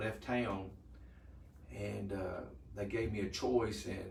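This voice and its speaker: Speaking at a fairly slow pace, a man with a fairly low voice shows ordinary pitch variation, with audible room echo. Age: 60s. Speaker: retired EMS worker, patient. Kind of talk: patient testimony. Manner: halting.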